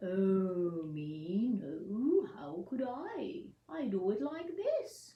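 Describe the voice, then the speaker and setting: A put-on character voice at a middle pitch moves at a very slow pace. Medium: read story.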